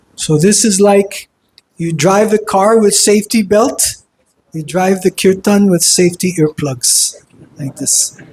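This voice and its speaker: The pitch is high for this man. He talks at a fairly slow pace. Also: ordinary pitch variation. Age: 60s. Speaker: monk and kirtan teacher. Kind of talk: lecture.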